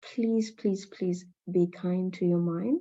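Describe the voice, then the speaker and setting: A woman with a non-native accent speaks very slowly at a medium pitch. Her tone is dark and mellow, with ordinary pitch variation. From Nepal. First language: not English. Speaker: mental health speaker, NHS trainer. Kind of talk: presentation. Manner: halting, many fillers and repeats.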